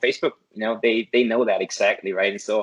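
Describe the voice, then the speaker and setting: With a German accent, a man speaks at a very fast pace in a dry, close sound with no echo. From Germany. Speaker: affiliate marketer, course student. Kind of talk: interview. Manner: halting, many repetitions.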